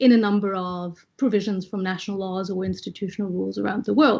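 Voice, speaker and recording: A woman talks in a somewhat breathy voice. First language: French. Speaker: arbitration law panelist. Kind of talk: online panel presentation. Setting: video call. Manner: measured, with frequent fillers.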